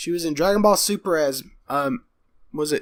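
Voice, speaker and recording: Speaking in a Texas accent, a man uses a high pitch with very wide pitch swings. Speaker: podcast co-host. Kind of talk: casual chat.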